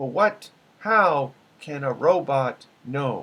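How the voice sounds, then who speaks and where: Using a put-on character voice, a man speaks at a fairly high pitch. His pace is very slow. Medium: read story. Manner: measured, formal.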